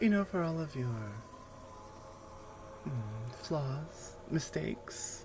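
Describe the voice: Using a put-on character voice, a woman speaks at a very slow pace and a low pitch with lively intonation.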